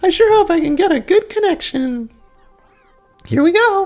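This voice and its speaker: Over faint music in the background, a woman does a squeaky put-on character voice at an extremely high pitch and a moderate pace. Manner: sweet and cheerful.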